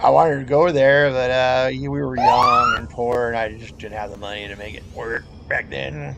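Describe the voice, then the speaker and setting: Over noticeable background noise, a man with an American accent talks at a moderate pace with big swings in loudness. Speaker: gamer. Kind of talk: casual chat.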